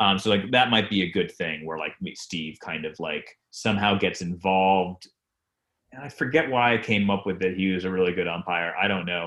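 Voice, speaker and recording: Moderate pacing and ordinary pitch variation in a man's very deep, low voice. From Rhode Island. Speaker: television comedy writer. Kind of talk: casual interview. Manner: rambling with many fillers.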